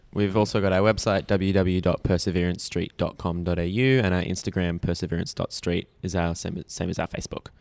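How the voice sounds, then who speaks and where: Against a quiet background with a dry, close sound and no echo, a man with an Australian accent talks fairly quickly with hardly any pauses, his very deep, low voice keeping fairly even intonation. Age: young, 19. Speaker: young actor, theatre company member. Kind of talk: casual interview chat.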